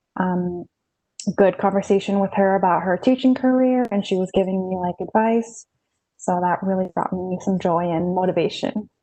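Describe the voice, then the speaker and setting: With a normal speaking voice, a woman talks at a moderate pace in a medium pitch and fairly even intonation. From Las Vegas, Nevada, US. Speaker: university student. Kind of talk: self-introduction on video call.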